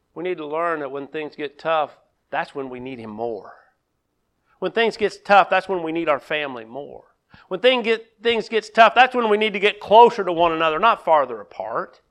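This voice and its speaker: A man speaks with a high voice at a moderate pace. His pitch swings very widely and his loudness rises and falls sharply. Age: 50s. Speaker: pastor. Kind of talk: sermon. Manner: halting.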